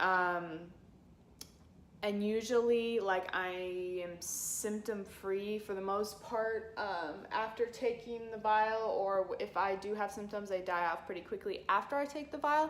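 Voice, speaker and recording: A woman speaks at a fairly slow pace with ordinary pitch variation. Her recording carries audible room echo and noticeable background noise. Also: medium pitch for a woman. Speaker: chronic illness vlogger. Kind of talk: personal vlog. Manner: halting, many fillers.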